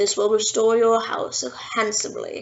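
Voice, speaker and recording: Someone speaks at a fairly high pitch in a put-on character voice. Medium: read story. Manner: solemn, formal.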